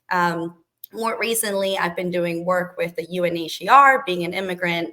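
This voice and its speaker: The pace of this woman's speech is moderate. Her voice sits at a medium pitch. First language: not English. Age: 30s. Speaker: government relations professional. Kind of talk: interview.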